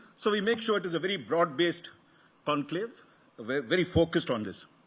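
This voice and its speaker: Talking at a fairly quick pace, a man with a South Indian accent uses a high pitch and lively intonation. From Karnataka, South India. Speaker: media executive opening a conference. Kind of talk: welcome address. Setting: stage with audience. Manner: halting, many fillers and restarts; formal.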